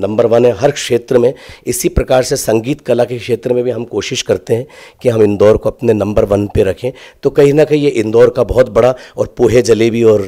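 A man speaks with fairly even intonation and a dark, mellow tone. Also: moderate pace, quiet background. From Indore, central India; central India. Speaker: singer; interviewee. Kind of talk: interview. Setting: university campus. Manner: halting. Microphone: handheld.

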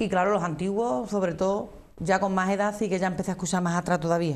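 A woman in an Andalusian accent at a fairly quick pace, with fairly even intonation. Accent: Andalusian (Cádiz). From Andalusia, Arcos de la Frontera (Cádiz); Andalusia, Spain. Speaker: flamenco singer; guest. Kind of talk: interview. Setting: TV studio. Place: studio. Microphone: lapel.

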